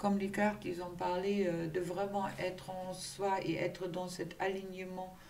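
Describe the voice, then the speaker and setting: The speech moves at a very slow pace, with audible room echo and noticeable background noise. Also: woman. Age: 60s. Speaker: tarot card reader and spiritual coach. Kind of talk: tarot reading guidance. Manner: hesitant with many fillers.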